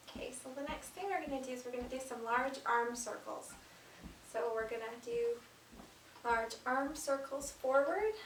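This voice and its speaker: A soft-spoken woman with a high voice, talking at a moderate pace with long, frequent pauses, in a room with audible echo. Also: ordinary pitch variation. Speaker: stretching class instructor. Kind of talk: exercise tutorial.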